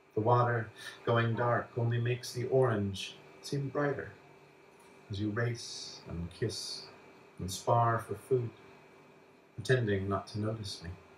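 With an American accent, a man talks at a fairly slow pace with fairly even intonation and long, frequent pauses, amid audible room echo and light background noise. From US Southwest. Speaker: poet. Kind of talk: poetry reading. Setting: bar with live audience. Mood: calm, measured delivery. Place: bar.

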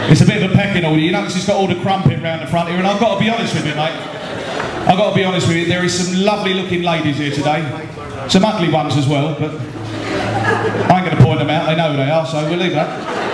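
A man talking at a very fast pace, with audible room echo and loud background noise. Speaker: stand-up comedian and after dinner speaker. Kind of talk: live stand-up comedy to an audience with crowd banter. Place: hall. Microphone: handheld.

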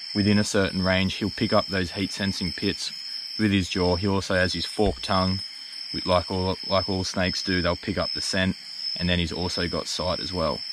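The sound is dry with no echo, and noticeable background noise is present. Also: man. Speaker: presenter. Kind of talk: casual educational explanation. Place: forest. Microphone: phone near.

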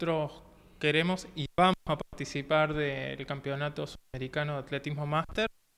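At a moderate pace, a man with an unremarkable speaking voice talks at a fairly high pitch with fairly even intonation. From Argentina, Córdoba province (Ordóñez); Córdoba province, Argentina. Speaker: masters athlete; interviewee. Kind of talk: interview. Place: meeting room. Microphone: handheld.

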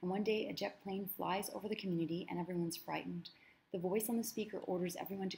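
The voice is a natural reading voice.

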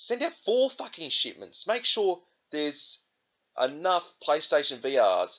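Against a quiet background, a man with an Australian accent speaks in an angry tone at a fairly slow pace. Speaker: gaming vlogger. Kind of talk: angry rant; vlog monologue to camera. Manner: angry, swearing, exasperated; repetitive, hesitant with fillers. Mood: angry, frustrated. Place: home room. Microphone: webcam.

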